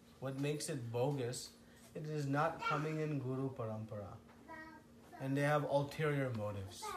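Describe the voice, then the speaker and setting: Noticeable background noise and audible room echo surround speech at a moderate pace. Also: man. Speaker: spiritual teacher. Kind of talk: lecture.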